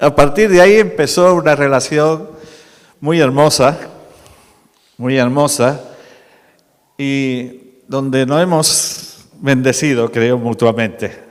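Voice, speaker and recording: Pausing long and often, a man speaks very slowly at a fairly high pitch with ordinary variation, and room echo is audible. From Málaga, Andalusia, Spain. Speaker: preacher. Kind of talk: sermon.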